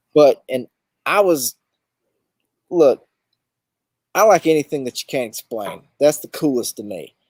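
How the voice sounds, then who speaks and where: With a Southern US accent, a man talks at a fairly slow pace with long, frequent pauses, in a dry, close sound with no echo. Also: fairly high pitch for a man, big swings in loudness. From US South, southeast Alabama (Dothan). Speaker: overlanding expedition guide and show host. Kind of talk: casual interview chat. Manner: hesitant, many fillers.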